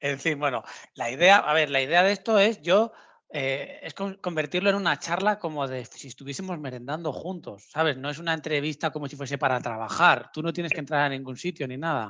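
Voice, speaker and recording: A man with a Castilian accent speaks in a bright, sharp tone at a fairly quick pace. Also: quiet background. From Spain. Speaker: interviewer. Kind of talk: casual interview.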